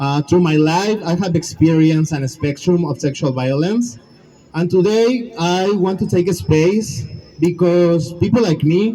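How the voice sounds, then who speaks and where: A man with a Spanish accent speaks at a fairly slow pace in a high voice, with ordinary pitch variation. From Mexico. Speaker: survivor advocate. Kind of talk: rally speech.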